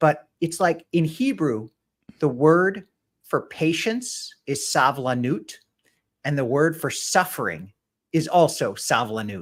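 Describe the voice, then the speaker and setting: Loud and very slow, a man speaks at a fairly high pitch with very wide pitch swings. The recording is very clean, with a silent background. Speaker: rabbi. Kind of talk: casual chat. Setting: live stream.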